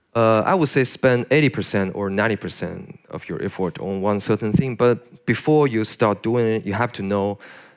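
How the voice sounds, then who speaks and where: Hardly pausing, a man speaks at a moderate pace in a fairly low pitch with ordinary pitch variation. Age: young. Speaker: concept artist, conference speaker. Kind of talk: audience Q&A at conference. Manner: hesitant, many fillers.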